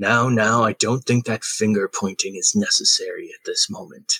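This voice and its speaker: A man in a put-on character voice, medium in pitch, at a moderate pace with big swings in loudness, in a dry, close sound with no echo. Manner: calm.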